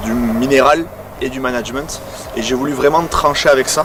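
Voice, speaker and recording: A man's medium-pitched voice, fairly even in intonation, is heard through noticeable background noise. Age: 20s. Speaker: agricultural sales technician. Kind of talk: workplace testimony interview. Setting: on a client's farm.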